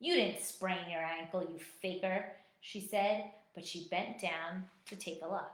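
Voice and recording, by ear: The intonation stays fairly even while the speaker is reading aloud in a natural voice.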